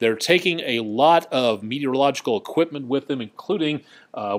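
At a fairly quick pace, a man in an American accent talks with ordinary pitch variation. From Colorado. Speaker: TV meteorologist. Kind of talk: live weather webcast with viewer comments. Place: studio.

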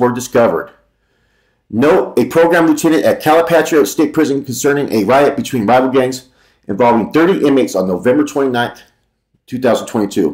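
A man at a fairly quick pace over a quiet background. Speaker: commentary vlogger. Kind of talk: reads article aloud with commentary. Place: home room. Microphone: webcam.

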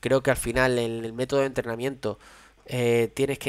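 Against a quiet background, a man talks at a moderate pace in a monotone, flat intonation. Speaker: padel coach streamer. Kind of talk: commentary. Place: home room. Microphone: headset.

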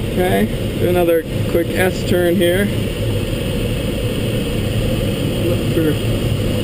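The speech has long, frequent pauses. Loud background noise is present. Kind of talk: in-flight commentary. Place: plane. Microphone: phone near.

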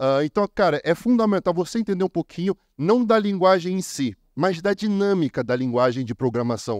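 Recorded with a dry, close sound with no echo against a quiet background, a man with a high pitch speaks at a moderate pace with very wide pitch swings. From Brazil. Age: 30s. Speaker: copywriter. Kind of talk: conference talk. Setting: stage with audience. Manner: animated.

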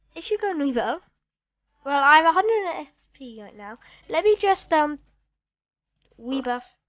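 Moving at a moderate pace, a woman speaks at a high pitch with very wide pitch swings, big swings in loudness and long, frequent pauses. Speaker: gaming video creator. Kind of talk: gameplay commentary. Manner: hesitant, many 'um' fillers; put-on voice tone.

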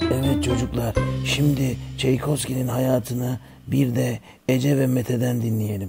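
A man's put-on character voice, medium in pitch, with a dark, mellow tone, a husky, rough edge and vocal fry, at a fairly slow pace with little pitch movement, over faint background music.

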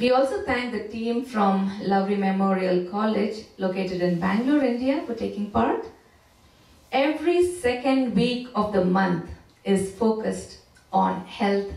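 A woman at a fairly slow pace with ordinary pitch variation, heard with audible room echo. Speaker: church service host. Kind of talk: announcements.

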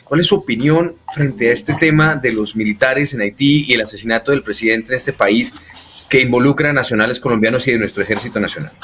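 A man talks at a very fast pace in a medium pitch with ordinary pitch variation. Noticeable background noise runs underneath. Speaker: interviewer, co-host. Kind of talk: political interview.

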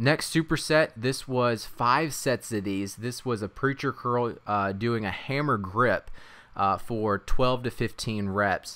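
At a very slow pace, a man talks in a medium pitch with ordinary pitch variation and a bright, sharp tone. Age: 30s. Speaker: fitness vlogger. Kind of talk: casual vlog narration. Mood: upbeat, cheerful.

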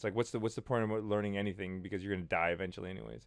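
Over a quiet background, a man speaks with a fairly low pitch. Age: 30s. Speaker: vlogger. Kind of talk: casual vlog monologue. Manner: animated. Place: home room. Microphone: studio mic.

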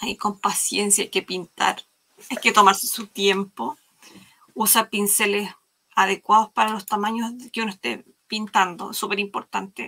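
Bright and sharp in tone, a woman speaks at a fairly slow pace with fairly even intonation and long, frequent pauses. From Chile. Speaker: live craft stream host. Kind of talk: live craft demo chat. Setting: video call livestream. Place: workshop.

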